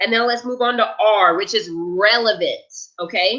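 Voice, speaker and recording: A woman speaks loud, with an energetic tone. Her intonation is lively. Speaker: event planning tutor. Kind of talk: webinar lecture. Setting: online webinar.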